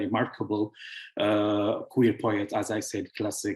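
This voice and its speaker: A man speaks with an Arabic accent at a fairly low pitch. His voice is somewhat breathy. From Syria. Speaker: author and founder of a publishing house. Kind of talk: online presentation. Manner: halting, with many fillers.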